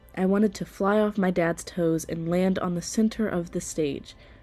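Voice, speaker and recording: A woman speaks in an American accent at a medium pitch, with music in the background. Her intonation is monotone and flat. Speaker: theater student. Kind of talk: personal podcast narration.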